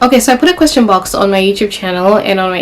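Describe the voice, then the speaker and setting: With a Zimbabwean accent, a woman speaks at a medium pitch. Noticeable background noise runs underneath. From Zimbabwe, Kadoma and Harare. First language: Shona. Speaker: YouTuber. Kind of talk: casual sit-down vlog. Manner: casual, conversational.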